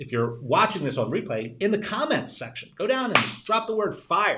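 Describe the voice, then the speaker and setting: With an American accent, a man speaks in an energetic, bright, sharp tone, his pitch swinging very widely. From New Jersey. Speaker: tax and estate lawyer, financial adviser. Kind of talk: live-stream webinar presentation. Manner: fast; repetitive, energetic.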